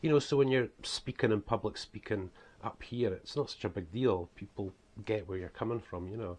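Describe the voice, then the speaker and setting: Against a quiet background, a man with a strong Scottish accent speaks fairly quickly at a fairly low pitch, somewhat breathy, with ordinary pitch variation. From Scotland. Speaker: author and preacher. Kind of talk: casual vlog talk. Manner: hesitant, many fillers.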